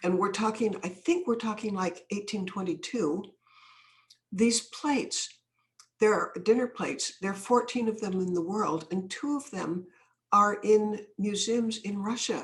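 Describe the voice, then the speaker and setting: Speaking at a fairly slow pace, a woman has a somewhat breathy, medium-pitched voice with ordinary pitch variation. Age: old. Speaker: anti-trafficking activist and author. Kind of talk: podcast interview, storytelling.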